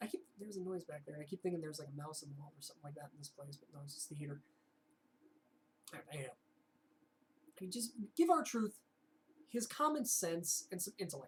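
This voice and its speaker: This woman's voice is fairly low-pitched and somewhat breathy, with ordinary pitch variation. She talks very fast, with long, frequent pauses and big swings in loudness. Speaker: wrestling vlogger. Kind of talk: casual chat.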